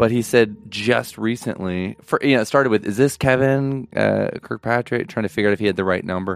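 An ordinary speaking voice from a man, fairly low in pitch, at a fairly quick pace with hardly any pauses and ordinary pitch variation, on a very clean recording with a silent background. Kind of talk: casual chat.

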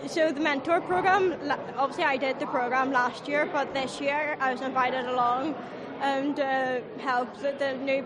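A woman with a Belfast accent speaks at a high pitch with fairly even intonation. Crowd noise and audible room echo fill the background. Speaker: ice academy mentor. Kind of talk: interview. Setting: city hall event.

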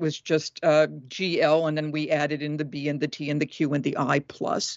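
The woman speaks at a very deep, low pitch. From Massachusetts, New England. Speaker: professor of religious studies. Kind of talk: interview.

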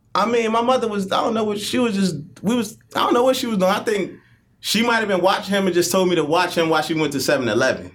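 With lively intonation, a man talks at a very fast pace in a high pitch for a man, and audible room echo surrounds him. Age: 30s. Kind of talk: casual chat.

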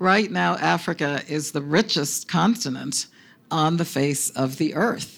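A woman with a very deep, low pitch and vocal fry speaks at a fairly slow pace with lively intonation. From Panama. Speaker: UN agency director. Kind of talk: onstage interview.

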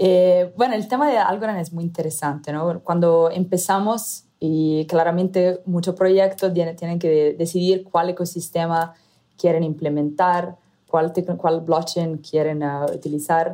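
A woman speaks with an Italian accent in a fairly low, dark, mellow voice, at a fairly slow pace with fairly even intonation. The recording is very clean, with a silent background. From Italy. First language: Italian (speaking Spanish). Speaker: startup founder and CEO. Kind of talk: interview. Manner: halting, many fillers.

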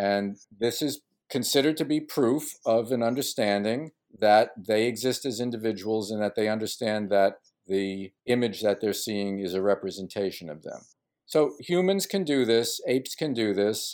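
A man's ordinary speaking voice, medium in pitch, with an American accent, at a moderate pace on a very clean recording with a silent background. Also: ordinary pitch variation. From US, Brooklyn, New York. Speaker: ecologist and author. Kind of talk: interview.

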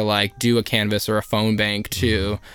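A man talks at a fairly quick pace in a medium pitch. Background noise is noticeable. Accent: American. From New Jersey (Elizabeth). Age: 20s. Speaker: housing organizer. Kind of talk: casual chat.

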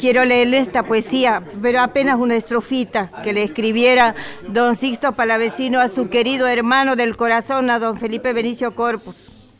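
Over noticeable background noise, a woman with a high pitch speaks at a moderate pace with hardly any pauses. Her intonation is fairly even. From Santiago del Estero, Argentina. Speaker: radio show participant. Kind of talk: radio tribute.

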